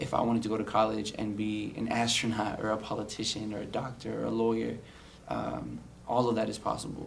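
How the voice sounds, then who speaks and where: Background noise is noticeable and room echo is audible. Over it, a man in an American accent speaks fairly quickly. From US West Coast, San Diego, California. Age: 20s. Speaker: college student. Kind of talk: personal testimony interview. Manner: frequent fillers and repetitions.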